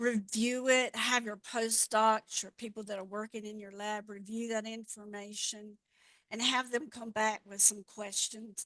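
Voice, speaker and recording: In a Southern accent, a woman with a fairly high pitch and a bright, sharp tone speaks in a monotone, flat way with big swings in loudness, the sound dry and close with no echo. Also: fairly slow pace. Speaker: regulatory affairs expert, presenter. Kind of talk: webinar Q&A. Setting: online webinar.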